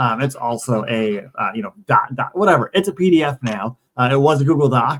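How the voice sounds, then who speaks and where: Fairly quick speech with hardly any pauses, ordinary pitch variation, and a dry, close sound with no echo. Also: man. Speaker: tech YouTuber, Salesforce educator. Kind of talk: tutorial. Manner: fast; casual, chatty.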